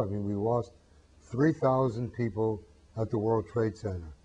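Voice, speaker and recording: A man's somewhat breathy voice with an American accent, its pitch variation ordinary. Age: 70s. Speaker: peace activist. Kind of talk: interview. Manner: hesitant with frequent fillers.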